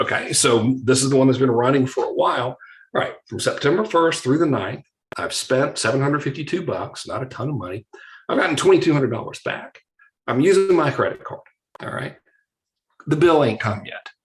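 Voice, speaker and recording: A man talks at a fairly quick pace. His voice is somewhat breathy and fairly high in pitch. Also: ordinary pitch variation. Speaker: online marketing teacher. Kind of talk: live online class. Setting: video call. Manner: animated.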